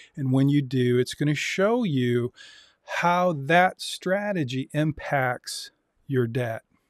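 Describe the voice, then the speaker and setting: In a dry, close sound with no echo, a man with a fairly high pitch speaks very slowly with lively intonation and very even loudness. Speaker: university lecturer in personal finance. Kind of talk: lecture. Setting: live-streamed Zoom class.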